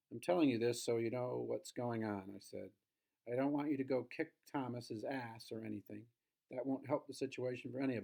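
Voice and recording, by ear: Over a quiet background, the text is read aloud naturally, with pitch moving in an ordinary way.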